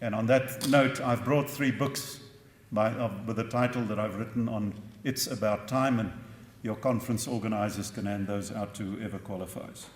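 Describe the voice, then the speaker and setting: A man talks at a moderate pace and medium pitch, his intonation fairly even, with audible echo from the room. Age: 60s. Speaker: professor. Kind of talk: conference talk.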